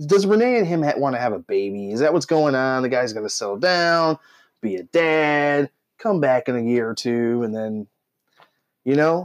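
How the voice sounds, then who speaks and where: A man speaks at a moderate pace in an ordinary speaking voice of medium pitch, with lively intonation. The sound is dry and close, with no echo. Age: 30s. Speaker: wrestling podcast co-host. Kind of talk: casual chat.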